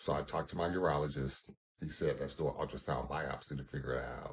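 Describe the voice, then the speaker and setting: A man's voice with vocal fry, at a fairly quick pace. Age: 50s. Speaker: caregiver, cancer patient. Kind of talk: testimony.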